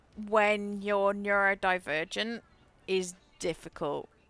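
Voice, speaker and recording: Very slow woman's voice with an English accent, bright and sharp in tone, in a very clean recording with a silent background and a dry, close sound with no echo. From England, rural farming village. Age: 30s. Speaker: gaming streamer. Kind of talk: casual chat. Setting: live stream. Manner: halting.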